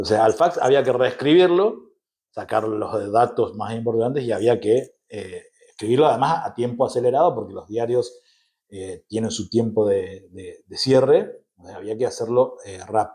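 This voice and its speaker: A man talks at a medium pitch with a dark, mellow tone and ordinary pitch variation. His loudness swings widely, and his voice is somewhat breathy. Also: moderate pace. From Argentina, Misiones (Posadas and Andresito). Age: 40s. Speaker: journalist. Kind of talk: interview conversation. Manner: hesitant, frequent fillers.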